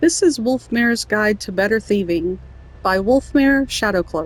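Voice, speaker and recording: Her voice somewhat breathy, a woman with a fairly high pitch talks at a moderate pace with lively intonation. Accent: American. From Southern US. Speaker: gamer. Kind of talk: reading in-game book aloud. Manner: playful, amused.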